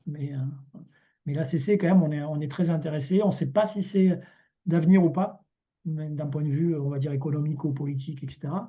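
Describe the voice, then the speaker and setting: This man's voice sits at a fairly high pitch with a dark, mellow tone. His intonation stays fairly even. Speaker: cooperative volunteer presenting experience. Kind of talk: online meeting presentation. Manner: fast; hesitant, many repetitions.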